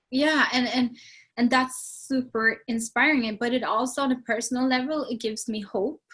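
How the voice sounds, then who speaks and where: In a Swedish accent, a woman speaks at a moderate pace in a high pitch with a bright, sharp tone. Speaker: sustainability non-profit leader. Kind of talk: interview. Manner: animated.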